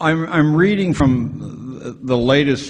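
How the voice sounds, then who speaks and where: The man talks at a very slow pace. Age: 70s. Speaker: education critic and author. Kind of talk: speech reading from a script.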